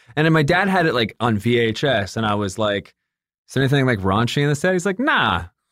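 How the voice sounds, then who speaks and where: At a very fast pace, a man with a slight General American accent talks at a medium pitch with very wide pitch swings and very even loudness. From Michigan and Atlanta. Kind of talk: casual interview chat.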